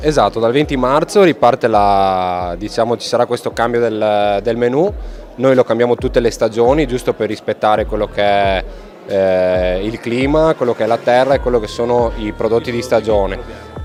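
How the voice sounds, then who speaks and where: Noticeable background noise sits behind a man speaking at medium pitch and a moderate pace with ordinary pitch variation. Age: 20s. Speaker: chef. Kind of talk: interview.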